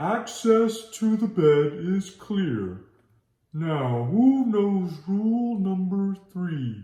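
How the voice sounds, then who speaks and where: A put-on character voice at a very slow pace, with a slight echo. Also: man, high pitch for a man. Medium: read story. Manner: formal, instructive.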